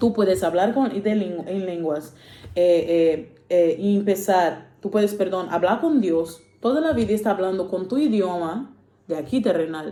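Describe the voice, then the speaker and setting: With a Portuguese accent, a woman speaks fairly slowly at medium pitch, her tone dark and mellow. Her pitch variation is ordinary, and room echo is audible. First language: Portuguese (speaking Spanish). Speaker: preacher. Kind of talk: sermon. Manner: halting, many fillers.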